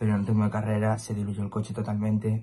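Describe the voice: A man's fairly low voice, slightly mellow in tone with a slightly husky edge.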